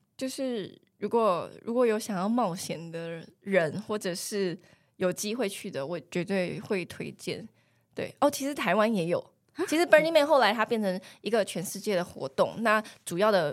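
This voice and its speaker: In a very clean recording with a silent background, a woman with a plain, everyday voice speaks at a medium pitch with lively intonation. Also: moderate pace. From mainland China, Fujian. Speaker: human resources professional. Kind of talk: casual interview chat.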